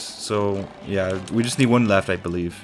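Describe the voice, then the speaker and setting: Noticeable background noise sits behind a man with a fairly low pitch. His intonation is lively. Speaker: gaming YouTuber. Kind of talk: let's play commentary.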